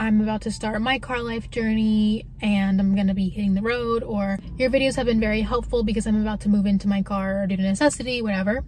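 A woman at a fairly quick pace, dry sound with no echo, music in the background. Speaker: car-life vlogger. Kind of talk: casual vlog chat. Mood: friendly, relaxed. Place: car. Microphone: phone near.

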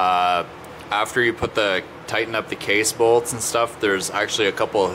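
A man talks in a fairly low voice with fairly even intonation. Noticeable background noise runs underneath. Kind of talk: tutorial. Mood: relaxed, casual. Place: garage. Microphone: phone near.

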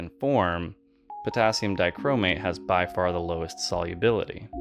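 Over music in the background, a man with a very deep, low pitch talks at a moderate pace using lively intonation. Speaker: amateur chemist. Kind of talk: chemistry video voice-over narration.

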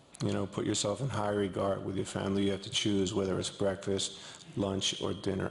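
The pitch sits fairly low for this male speaker. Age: 50s. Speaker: actor. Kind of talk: press conference answer. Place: hall. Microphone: podium.

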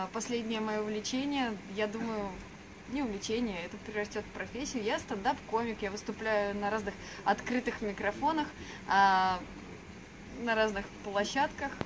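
Against noticeable background noise, a woman speaks somewhat breathily at a fairly slow pace, with fairly even intonation and long, frequent pauses. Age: 20s. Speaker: actress. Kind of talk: self-presentation. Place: street. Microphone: camera far.

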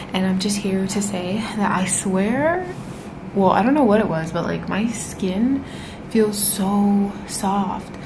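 A woman speaks at a very slow pace with ordinary pitch variation. Noticeable background noise runs behind her. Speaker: travel vlogger. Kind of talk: casual vlog chat. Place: home room. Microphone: phone near.

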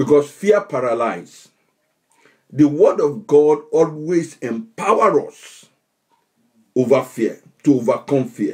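Over a quiet background, a man with a fairly high pitch speaks very slowly and somewhat breathily, with lively intonation, long, frequent pauses and big swings in loudness. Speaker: pastor. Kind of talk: fervent spiritual-warfare prayer, commanding COVID back to the pit. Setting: online livestream. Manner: declamatory, punctuated by repeated Amen and Hallelujah; rising, incantatory repetition of in the name of Jesus. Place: home room. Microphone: webcam.

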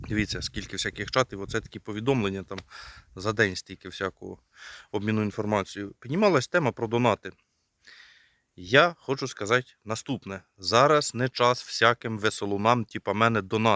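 A man speaks at a moderate pace with medium pitch, ordinary pitch variation and a bright, sharp tone. The sound is dry and close with no echo, on a very clean recording with a silent background. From Ukraine, rural village. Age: 30s. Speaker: DIY video blogger. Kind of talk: tutorial.

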